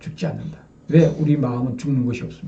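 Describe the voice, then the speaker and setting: A man speaks in a dark, mellow tone with vocal fry. Room echo is audible around his voice. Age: 60s. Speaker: religious lecturer. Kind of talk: sermon. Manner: addresses audience with rhetorical questions.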